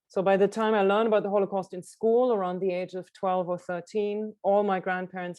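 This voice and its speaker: A woman with a German accent talks at a fairly quick pace. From Germany, Karlsruhe. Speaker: illustrator and author. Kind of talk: book presentation talk.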